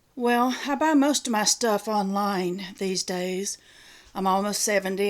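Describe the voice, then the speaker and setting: With a Southern accent, a woman speaks in a fairly high pitch at a moderate pace, recorded very cleanly with a silent background. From US South. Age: 60s. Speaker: retiree YouTuber. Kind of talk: casual show-and-tell video. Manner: folksy, chatty.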